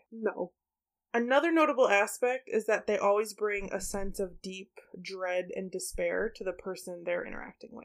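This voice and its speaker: Using an ordinary speaking voice, a woman talks at a medium pitch with ordinary pitch variation. Her loudness swings widely. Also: moderate pace. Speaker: podcast host. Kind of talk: casual chat.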